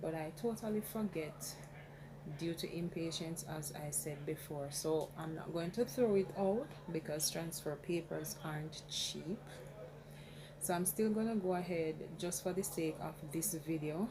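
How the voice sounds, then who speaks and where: A quiet woman's voice, fairly low with ordinary pitch variation, comes through noticeable background noise. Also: fairly slow pace. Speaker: crafting tutorial creator. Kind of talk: tutorial. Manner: quiet, talking low.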